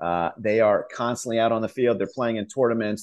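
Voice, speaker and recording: A man with an American accent speaks in a normal speaking voice at a medium pitch. His pace is moderate and his intonation fairly even. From Pennsylvania (York). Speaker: soccer club executive. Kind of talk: interview.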